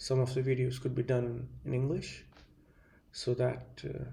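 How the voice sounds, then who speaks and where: A man talks at a medium pitch with vocal fry and monotone, flat intonation. He speaks at a fairly slow pace amid audible room echo. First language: Hindi. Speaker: video essayist. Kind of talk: monologue lecture. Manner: halting, many fillers.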